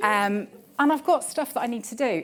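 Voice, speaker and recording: A woman talks at a fairly quick pace with a West Midlands accent. The recording is very clean, with a silent background. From West Midlands, England. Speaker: telecoms director. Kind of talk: conference talk. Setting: stage with audience. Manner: casual, conversational.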